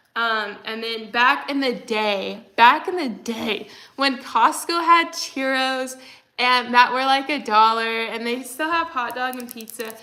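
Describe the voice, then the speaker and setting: In an American accent, this bright, sharp-toned voice moves at a fairly slow pace with ordinary pitch variation, and audible room echo. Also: woman, high pitch for a woman. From Texas. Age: 20s. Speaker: livestreamer. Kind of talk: casual chat. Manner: frequent fillers, like and um.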